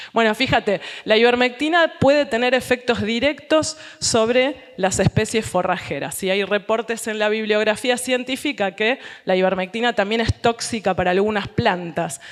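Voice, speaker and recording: A woman with an ordinary speaking voice talks at a fairly high pitch and a moderate pace. Her pitch varies in an ordinary way. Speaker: scientist presenting research. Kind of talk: lecture.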